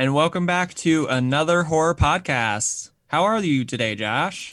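A robotic, put-on character voice from a man, fairly high in pitch, at a moderate pace on a very clean recording with a silent background. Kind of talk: stiff, scripted podcast greeting. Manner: robotic, rehearsed delivery.

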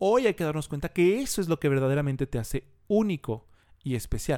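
A man talks at a fairly quick pace with a Mexican accent. The sound is dry and close with no echo, on a very clean recording with a silent background. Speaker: personal branding consultant. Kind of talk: casual interview.

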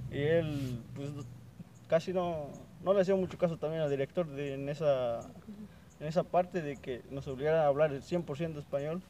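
A man's fairly high voice at a moderate pace, fairly even in intonation, broken by long, frequent pauses. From Veracruz, Mexico (Huasteca). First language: Nahuatl (speaking Spanish). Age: 20s. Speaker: student, native Nahuatl speaker. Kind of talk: interview.

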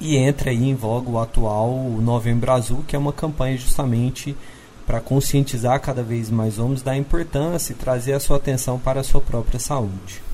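A man's medium-pitched, plain, everyday voice with fairly even intonation at a moderate pace. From Minas Gerais, Uberlândia. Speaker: doctor. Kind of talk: interview.

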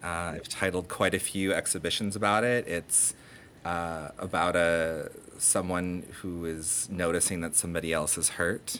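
A man with a very deep, low pitch and a bright, sharp tone talks with an American accent and fairly even intonation. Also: moderate pace. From Detroit and Ontario, Canada. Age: 30s. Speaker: artist. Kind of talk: interview.

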